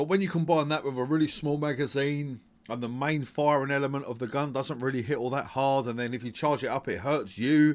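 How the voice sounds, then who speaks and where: In an English accent, a man talks at a fairly quick pace with hardly any pauses, a fairly high pitch and ordinary pitch variation, in a very clean recording with a silent background. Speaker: gaming video creator. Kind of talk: gaming commentary. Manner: casual, conversational; hesitant, stuttering at times.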